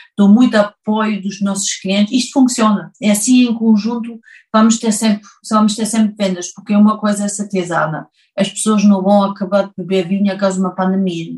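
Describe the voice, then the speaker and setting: At a fairly quick pace, this somewhat breathy voice keeps moving. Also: woman, medium pitch for a woman, fairly even intonation. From Germany. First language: German (speaking Portuguese). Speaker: winemaker and business owner. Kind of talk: interview. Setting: video call. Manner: halting.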